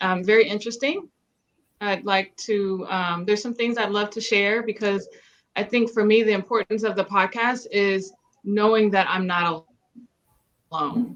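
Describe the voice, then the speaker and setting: A woman's medium-pitched voice at a moderate pace, with fairly even intonation and long, frequent pauses. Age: 40s. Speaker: podcast host. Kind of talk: casual chat.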